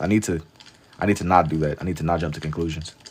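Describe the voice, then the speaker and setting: A man talks at a very fast pace in an American accent. Noticeable background noise sits behind him. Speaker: live-streaming artist. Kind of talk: casual livestream chat while drawing. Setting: TikTok live stream.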